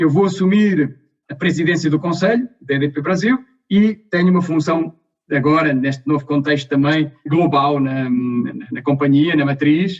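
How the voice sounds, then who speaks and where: Somewhat breathy, this man has a fairly high pitch and ordinary pitch variation. He keeps a moderate pace. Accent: European Portuguese. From Portugal. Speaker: energy company executive. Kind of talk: interview. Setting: video call.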